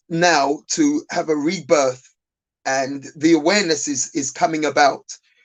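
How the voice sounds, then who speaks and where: Speaking in a South London accent, a man uses a fairly high pitch and fairly even intonation. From South London (Lewisham). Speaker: business owner. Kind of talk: panel discussion. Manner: halting, many fillers and repeats.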